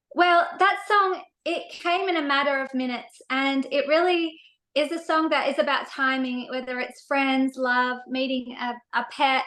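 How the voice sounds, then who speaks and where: A woman speaks in an Australian accent at a moderate pace with ordinary pitch variation. Her pitch is high and her tone bright and sharp. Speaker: singer-songwriter. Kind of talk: interview.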